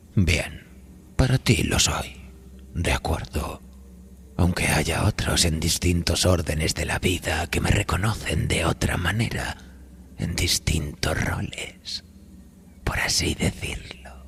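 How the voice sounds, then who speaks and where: In a put-on character voice with very deep, low pitch, a man speaks at a fairly slow pace. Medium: read story. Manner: smooth, sarcastic, ingratiating.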